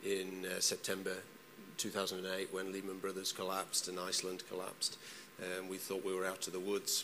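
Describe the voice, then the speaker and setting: Speaking with a British accent, a man has a very deep, low pitch and a bright, sharp tone. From UK. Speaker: journalist. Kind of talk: panel discussion. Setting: stage with audience. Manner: hesitant, many fillers and repetitions.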